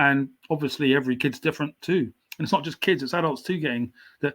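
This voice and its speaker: Recorded very cleanly against a silent background, a man with a southern English accent speaks with ordinary pitch variation. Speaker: writer, poet and painter. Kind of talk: podcast interview. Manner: slight stammer.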